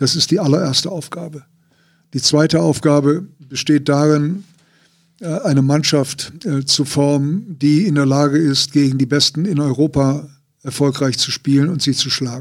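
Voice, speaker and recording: In an unremarkable speaking voice, a man talks at a moderate pace with a fairly high pitch and fairly even intonation. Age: 60s. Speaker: basketball coach. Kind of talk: interview.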